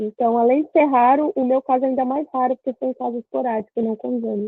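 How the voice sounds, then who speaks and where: A high-pitched woman's voice at a very fast pace, with fairly even intonation. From Brazil, Cubatão (São Paulo state). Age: 20s. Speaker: content creator with visual impairment. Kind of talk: interview. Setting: video call.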